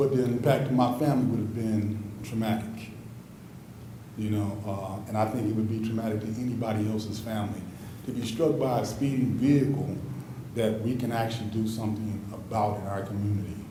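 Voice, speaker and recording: A man speaks at a fairly quick pace with medium pitch and fairly even intonation. The recording has audible room echo and noticeable background noise. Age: 60s. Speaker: resident speaking at public comment. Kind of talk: public comment. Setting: city council meeting.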